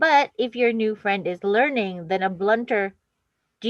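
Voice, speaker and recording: Speaking with an American accent, a woman has a plain, everyday voice at a medium pitch with ordinary pitch variation. She talks at a moderate pace in a dry, close sound with no echo. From New Jersey. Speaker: language exchange session host. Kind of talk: reading aloud.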